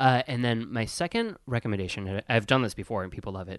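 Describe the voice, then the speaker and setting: A man speaks in an American accent at a medium pitch. He has an ordinary speaking voice and moves at a fairly quick pace. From US Midwest, Wisconsin. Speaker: podcast co-host, service industry worker. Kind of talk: casual chat. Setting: studio.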